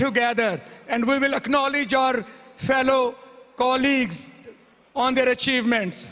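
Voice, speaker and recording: A man speaks in a raised, projected voice at an extremely high pitch, with fairly even intonation and a fairly slow pace. Noticeable background noise runs behind him. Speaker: awards committee presenter at physicians' convention. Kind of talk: award presentation speech. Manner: formal.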